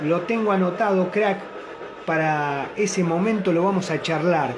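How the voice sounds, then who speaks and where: A man with an animated tone speaks at a high pitch with ordinary pitch variation and very even loudness, over noticeable background noise. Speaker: football fan radio show host. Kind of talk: casual fan call-in show. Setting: home studio, live on Facebook.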